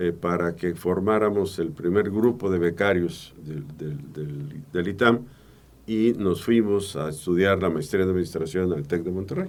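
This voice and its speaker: A man talks at a fairly slow pace in a very deep, low pitch. His pitch varies in an ordinary way. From Veracruz, Mexico. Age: 70s. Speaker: public accountant and auditor. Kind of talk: interview. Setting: studio.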